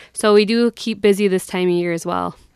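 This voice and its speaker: Monotone, flat delivery at a fairly quick pace in an Upper Midwest accent, on a very clean recording with a silent background. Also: woman. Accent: Upper Midwest (Minnesota). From southern Minnesota (Brown County). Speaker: youth program educator. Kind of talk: radio interview. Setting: radio studio.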